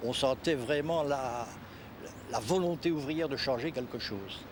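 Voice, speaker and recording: This man speaks with a Liège accent. His pitch varies in an ordinary way. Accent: Belgian French, Liège. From Belgium, Liège region. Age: 70s. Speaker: retired trade unionist. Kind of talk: documentary interview; speech to an assembly.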